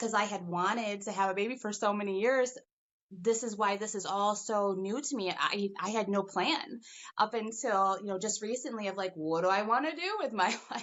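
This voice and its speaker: A woman's animated, medium-pitched voice with ordinary pitch variation. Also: moderate pace. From Michigan. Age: 40s. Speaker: interviewee. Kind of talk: interview.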